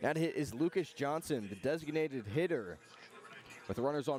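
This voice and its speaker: A man's fairly high-pitched voice with lively intonation at a moderate pace, music playing in the background. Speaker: radio baseball play-by-play announcer. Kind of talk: live sports radio play-by-play commentary. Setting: outdoors at a baseball stadium broadcast booth.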